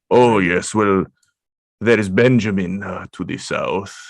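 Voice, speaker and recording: Putting on a character voice, a man speaks at a fairly low pitch. His pace is fairly slow. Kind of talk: fantasy villain-ish gravitas. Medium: actual play. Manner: formal, stilted and grandiose.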